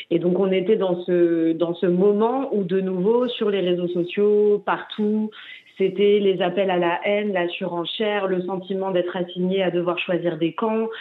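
Speaking fairly slowly, a woman with a medium pitch keeps a monotone, flat intonation. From Paris, France. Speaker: documentary filmmaker and peace activist. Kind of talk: interview. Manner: halting.

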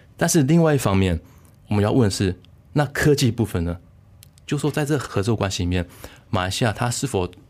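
With a Taiwanese accent, a man talks at a fairly quick pace. His intonation is lively. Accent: Taiwanese Mandarin. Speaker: political science researcher. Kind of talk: interview. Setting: studio.

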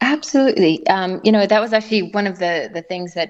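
A woman with an American accent against a quiet background. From South Africa. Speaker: former Olympic gymnast. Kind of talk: interview. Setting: phone call. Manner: hesitant, many fillers.

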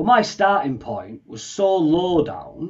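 A man speaks with a Yorkshire accent. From Leeds, northern England. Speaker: customer operations trainer. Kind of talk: casual interview.

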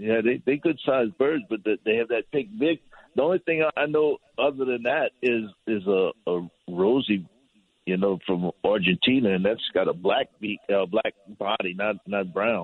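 At a moderate pace, a man talks with lively intonation and medium pitch in a plain, everyday voice. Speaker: fishing guide. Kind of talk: casual chat.

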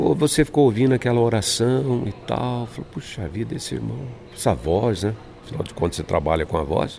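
A man talks fairly quickly, his pitch swinging very widely, with noticeable background noise around him. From São Paulo, Brazil. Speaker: radio announcer. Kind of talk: interview. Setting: church conference hotel.

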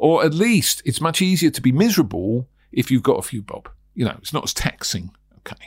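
A man with a British accent speaks at a moderate pace with lively intonation. The recording is very clean, with a silent background. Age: 60s. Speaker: property sourcing trainer and podcast host. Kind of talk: solo podcast monologue. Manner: conversational, rambling.

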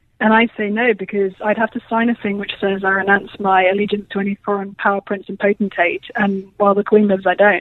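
A woman of medium pitch with a British accent talks at a fairly quick pace in a monotone, flat intonation, with hardly any pauses. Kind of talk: radio interview.

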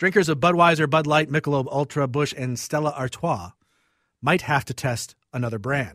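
A man with a fairly high pitch and an unremarkable speaking voice, ordinary pitch variation, moderate pace, on a very clean recording with a silent background. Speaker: radio co-host. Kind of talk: casual chat. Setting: studio.

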